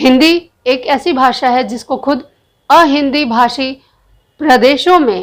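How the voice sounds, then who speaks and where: A woman's voice, high in pitch. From Bihar, India. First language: Bhojpuri (speaking Hindi). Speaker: political commentator, video blogger. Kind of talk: opinion monologue. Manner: animated.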